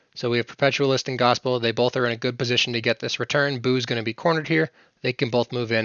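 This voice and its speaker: A man moves at a fairly quick pace with fairly even intonation. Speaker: game strategy instructor. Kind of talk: tutorial. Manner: fast.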